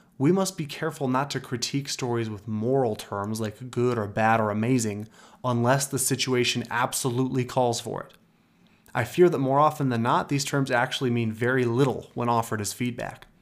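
A man with an unremarkable speaking voice, medium pitch, ordinary pitch variation, big swings in loudness and a fairly quick pace. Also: very clean recording, silent background. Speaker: podcast host. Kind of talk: solo podcast monologue about storytelling.

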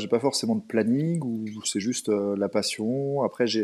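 Speaking at medium pitch, a man keeps his intonation fairly even. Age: 30s. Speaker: amateur runner and running coach. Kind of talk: casual interview. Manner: hesitant, many fillers and repetitions.

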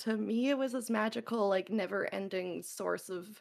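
The woman's medium-pitched voice carries vocal fry. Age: 30s. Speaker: variety streamer. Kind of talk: casual chat.

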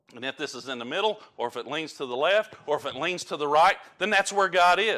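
A high-pitched man with a strong Southern US accent and lively intonation, hardly any pauses. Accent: strong rural Southern. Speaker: preacher. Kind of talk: sermon. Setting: church. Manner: halting, many fillers.

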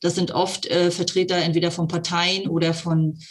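At a moderate pace, the delivery comes through somewhat breathy. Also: woman. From eastern Germany, Brandenburg (Cottbus). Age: 50s. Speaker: mayor. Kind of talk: interview.

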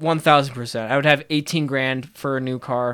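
Over a silent background in a very clean recording, a man with a fairly high pitch talks at a moderate pace in a plain, everyday voice with ordinary pitch variation. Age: 20s. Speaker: podcast host. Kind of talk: casual chat.

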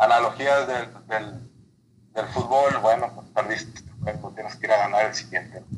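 A man's somewhat breathy voice comes across in a flat monotone. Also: medium pitch for a man, moderate pace, big swings in loudness. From Mexico, Baja California (Mexicali). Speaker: civil engineer, former college football player. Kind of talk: interview.

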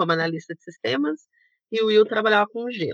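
A woman speaks in a normal speaking voice. Her pitch sits in the medium range and varies in an ordinary way. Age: 30s. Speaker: travel YouTuber, former systems analyst. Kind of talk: casual interview chat.

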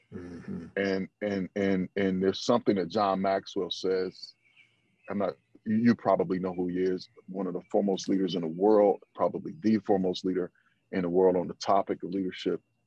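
Very deep, low male voice with a dark, mellow tone, monotone and flat, at a moderate pace, in a dry, close sound with no echo. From Flint, Michigan. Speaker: team leader. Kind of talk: casual conversation.

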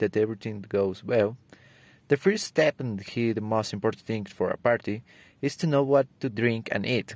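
On a very clean recording with a silent background and a dry, close sound with no echo, a man speaks at medium pitch with ordinary pitch variation. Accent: Spanish. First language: Spanish. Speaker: student. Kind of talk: prepared speech for English exam. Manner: halting.

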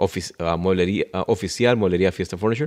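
A man with a very deep, low pitch and ordinary pitch variation, against a quiet background. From northern Mexico, Ciudad Juárez. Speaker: furniture store owner. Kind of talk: interview. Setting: furniture store.

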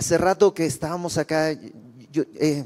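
A man talks with a fairly high pitch. The background is silent, and the recording is very clean. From Bolivia. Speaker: preacher. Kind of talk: sermon.

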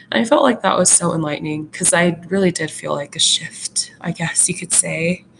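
A woman talks at a fairly quick pace with hardly any pauses. Her pitch is fairly low, and there is noticeable background noise. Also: ordinary pitch variation. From Alaska. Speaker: podcast co-host. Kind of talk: casual chat. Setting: video call. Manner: animated.

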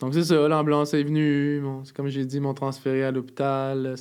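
A man at a medium pitch and a moderate pace. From Montreal, Quebec. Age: 20s. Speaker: wheelchair user sharing life story. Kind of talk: casual interview. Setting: studio.

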